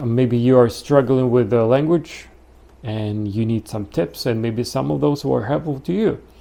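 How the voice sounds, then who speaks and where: A man with a Russian accent and a dark, mellow tone speaks at a medium pitch and a moderate pace, with lively intonation. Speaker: YouTuber teaching pronunciation. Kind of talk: casual tutorial. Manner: casual, slightly halting.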